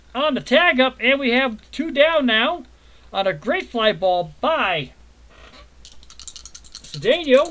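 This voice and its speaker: A man with an extremely high pitch uses a raised, projected voice, swinging very widely in pitch at a very slow pace with long, frequent pauses. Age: 60s. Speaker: tabletop baseball game player and commentator. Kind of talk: casual chat; mock play-by-play commentary. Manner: animated.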